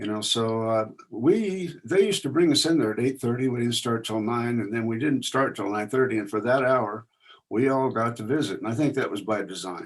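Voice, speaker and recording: Speaking with an American accent, a man uses a normal speaking voice at a medium pitch, a fairly quick pace and ordinary pitch variation. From Indiana. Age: 60s. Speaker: veteran. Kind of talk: casual talk.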